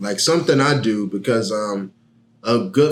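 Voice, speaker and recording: A man with an American accent has an unremarkable speaking voice. His pitch is fairly low, with ordinary variation. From Miami, Florida. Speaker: rapper. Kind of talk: podcast interview.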